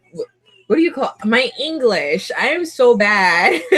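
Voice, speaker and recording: Music can be heard behind the voice. The delivery is fairly slow. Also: woman. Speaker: YouTuber doing a livestream chat. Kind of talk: casual livestream chat reading viewer comments. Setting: live video stream with webcam. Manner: halting, repeats words.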